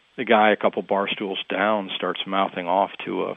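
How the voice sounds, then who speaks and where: Here is a man with an ordinary speaking voice and a fairly low pitch. He keeps a moderate pace. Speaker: author. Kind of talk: interview.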